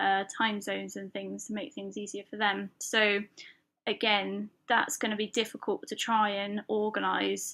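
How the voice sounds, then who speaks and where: In a British accent, a woman talks at a moderate pace on a very clean recording with a silent background. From UK. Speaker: podcast host and lettering artist. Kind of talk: solo podcast monologue. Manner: casual, filler-heavy.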